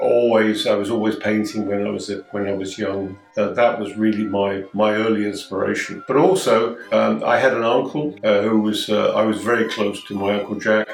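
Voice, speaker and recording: Music plays in the background as a man with a southern English accent talks at a moderate pace with hardly any pauses. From southern England, Dorset (born London). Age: 80s+. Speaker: marine artist. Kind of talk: interview. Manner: hesitant, with many fillers and repetitions.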